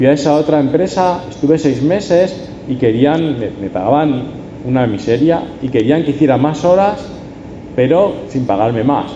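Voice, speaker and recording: Speaking with an Andalusian accent, a man talks at a fairly slow pace and a fairly high pitch with ordinary pitch variation, amid noticeable background noise and audible room echo. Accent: Huelva accent (when speaking English). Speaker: preacher. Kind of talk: sermon.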